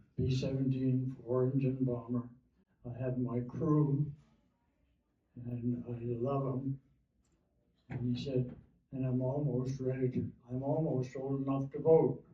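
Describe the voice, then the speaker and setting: Very slowly and with long, frequent pauses, a man talks in a medium pitch, monotone and flat, and somewhat breathy. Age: 80s+. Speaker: war veteran. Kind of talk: oral history talk.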